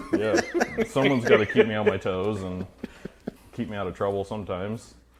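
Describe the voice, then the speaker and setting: The speech moves at a fairly quick pace with fairly even intonation, against noticeable background noise. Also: man, fairly low pitch for a man. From Idaho, US. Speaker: auto body painter and car builder. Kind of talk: casual chat. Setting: garage.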